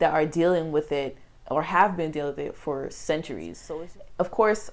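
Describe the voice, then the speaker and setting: At a moderate pace, a woman talks in a fairly low pitch on a very clean recording with a silent background. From outside the US, moved to the US as a child. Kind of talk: interview. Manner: casual, filler-heavy.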